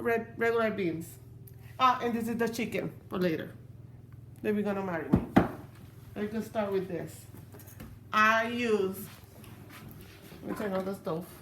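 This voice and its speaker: Long, frequent pauses break up a woman's speech at a moderate pace. Her medium pitch varies in an ordinary way, and the room echo is audible. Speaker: home cook. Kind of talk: cooking tutorial. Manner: halting.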